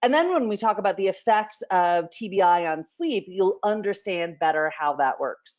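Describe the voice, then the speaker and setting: The woman keeps a moderate pace. Pitch varies in an ordinary way. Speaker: professor presenting on sleep and brain injury. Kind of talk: lecture. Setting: webinar presentation. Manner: loud.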